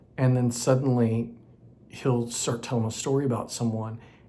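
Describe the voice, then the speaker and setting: The speaker is a man. Room echo can be heard. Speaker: acting coach for creatives. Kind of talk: tutorial. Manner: loud.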